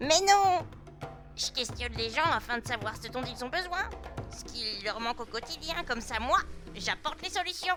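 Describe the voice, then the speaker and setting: A female-sounding, put-on character voice pitched high speaks at a moderate pace. Clear music plays in the background. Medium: machinima. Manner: lively, impulsive.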